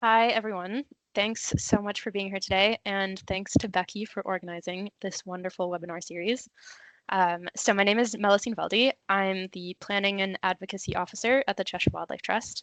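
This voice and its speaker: With an American accent and a normal speaking voice, a woman at medium pitch talks at a moderate pace with fairly even intonation, the sound dry and close with no echo over a quiet background. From USA. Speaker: conservation planning officer, webinar speaker. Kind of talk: webinar presentation. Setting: online webinar.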